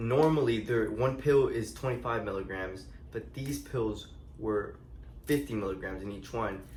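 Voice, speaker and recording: Amid audible room echo, a man talks at a medium pitch with ordinary pitch variation. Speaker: storytime vlogger. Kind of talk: casual storytelling. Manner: slow; halting, many fillers.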